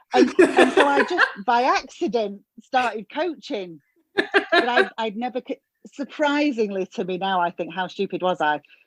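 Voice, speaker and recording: A woman with a Northern English accent talks at a moderate pace in a high voice with very wide pitch swings. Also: dry, close sound with no echo. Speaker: hairdresser coach, former therapist. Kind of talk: podcast interview answer.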